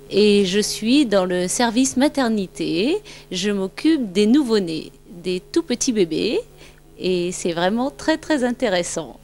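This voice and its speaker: A medium-pitched woman's voice, very slow in pace and lively in intonation, over background music. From France, Brittany (near Rennes). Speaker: maternity nurse, family member. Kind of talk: casual home video interview.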